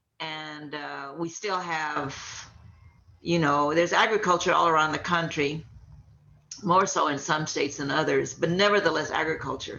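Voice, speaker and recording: A woman's very deep, low voice with vocal fry and an American accent, fairly even intonation, a moderate pace and audible room echo. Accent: Mexican American Texas English. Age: 70s. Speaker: labor organizer and activist. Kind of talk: interview.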